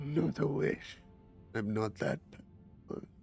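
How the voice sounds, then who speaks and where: A man puts on a character voice at a medium pitch, speaking at a fairly slow pace. Clear music plays in the background. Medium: actual play. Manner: grand, formal.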